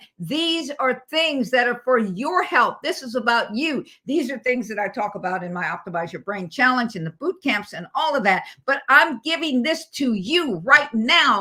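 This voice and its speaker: A woman's bright, sharp, high-pitched voice at a moderate pace, with very wide pitch swings and hardly any pauses. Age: 80s. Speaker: motivational speaker and coach. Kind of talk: motivational talk. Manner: halting, repetitive.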